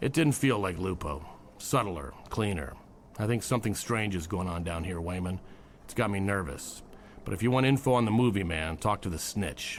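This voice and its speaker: Using a put-on character voice, a man speaks raspy and fairly low-pitched in a weary tone at a moderate pace, with clear background noise. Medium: audio drama. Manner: dry, world-weary.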